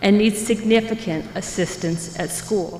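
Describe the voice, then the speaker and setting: A woman speaks at a moderate pace, her pitch varying in an ordinary way, with noticeable noise behind her. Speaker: parent speaking at public comment. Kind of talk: public comment speech.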